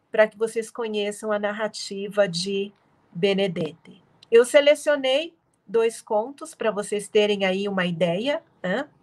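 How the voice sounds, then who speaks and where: The speech moves at a fairly slow pace with ordinary pitch variation. Its loudness swings widely. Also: woman, medium pitch for a woman. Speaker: literature professor. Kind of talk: lecture. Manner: soothing.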